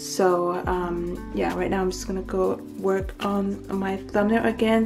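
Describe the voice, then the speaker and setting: A woman talks with ordinary pitch variation. Clear music plays in the background. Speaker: vlogger. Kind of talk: casual vlog chat.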